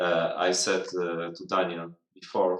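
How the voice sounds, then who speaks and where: A man speaks at a very slow pace. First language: not English. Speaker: miniature sculptor. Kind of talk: casual live stream chat. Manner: halting, many fillers.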